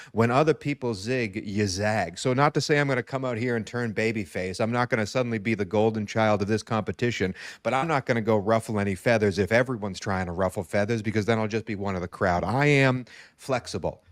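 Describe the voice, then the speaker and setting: This man speaks at a very fast pace in an animated tone. His pitch is medium, with ordinary variation. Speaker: podcast host and fantasy football contestant. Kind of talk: casual interview chat. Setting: live stream.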